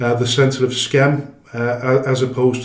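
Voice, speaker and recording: There is audible room echo around the voice. A man speaks at a moderate pace. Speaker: football club chairman. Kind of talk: interview. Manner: halting, many fillers and restarts.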